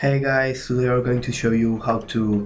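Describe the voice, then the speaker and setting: Noticeable background noise runs beneath a man speaking at a medium pitch. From Portugal. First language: Portuguese. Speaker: gaming tutorial youtuber. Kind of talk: tutorial. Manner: halting, many fillers.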